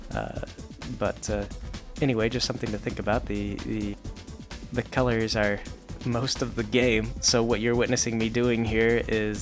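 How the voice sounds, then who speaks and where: With music in the background, this man speaks at a moderate pace. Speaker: web comic creator and video game talker. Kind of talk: quiet ASMR-style stream of consciousness talk to camera. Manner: quiet, close-mic, rambling, casual.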